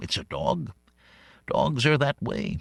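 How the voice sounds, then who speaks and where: A man puts on a character voice pitched at a medium level. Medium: read story. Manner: curious, mild.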